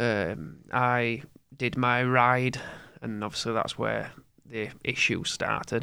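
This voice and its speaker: A man speaks in a Yorkshire accent at a medium pitch. His intonation stays fairly even. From Yorkshire, England. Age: 20s. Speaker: former cyclist, heart attack survivor. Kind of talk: casual interview.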